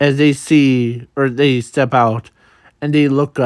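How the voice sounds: The surroundings are quiet. A natural reading voice carries fairly even intonation.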